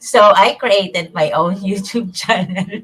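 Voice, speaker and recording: With a Visayan Filipino accent, a woman talks with ordinary pitch variation. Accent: Filipino (Cebuano) English. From Philippines, Cebuano-speaking region. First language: Cebuano. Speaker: online bookkeeper. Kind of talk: interview. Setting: live online broadcast. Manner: halting, many fillers.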